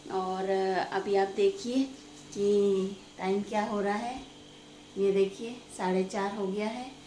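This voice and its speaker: Over noticeable background noise, a woman at medium pitch speaks in a flat monotone with long, frequent pauses. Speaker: family vlogger. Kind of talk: casual vlog narration.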